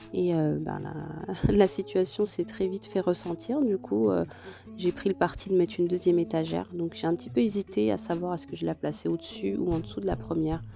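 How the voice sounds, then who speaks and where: Noticeable background noise sits behind a woman with a very deep, low pitch who speaks at a fairly quick pace with very wide pitch swings. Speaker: lifestyle vlogger. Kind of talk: voice-over narration. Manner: hesitant, many fillers.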